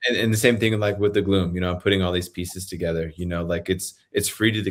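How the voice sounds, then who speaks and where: A man's fairly low voice with fairly even intonation, on a very clean recording with a silent background. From New Mexico, Santa Fe. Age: 30s. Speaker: podcast host. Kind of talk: casual chat.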